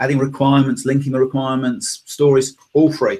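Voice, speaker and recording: The speaker has a British accent and talks at a moderate pace. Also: man. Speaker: tech company executive. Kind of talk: interview.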